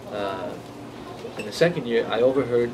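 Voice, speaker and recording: A moderate pace, with audible room echo and noticeable background noise. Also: man. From Brazil. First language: Portuguese. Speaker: comic book artist. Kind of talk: interview. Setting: in-store signing at comic shop. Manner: halting, many fillers and repetitions.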